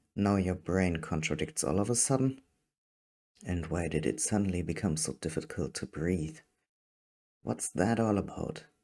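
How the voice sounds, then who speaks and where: A man with a very deep, low pitch and a dark, mellow tone speaks with lively intonation, vocal fry, and long, frequent pauses at a moderate pace. The recording is very clean, with a silent background. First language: not English. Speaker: fiction writer and reader. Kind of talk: reading aloud.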